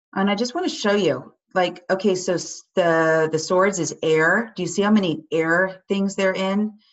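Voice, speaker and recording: Speaking at a moderate pace with hardly any pauses, a woman uses a medium pitch and ordinary pitch variation. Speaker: tarot teacher. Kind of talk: online class lecture. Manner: animated.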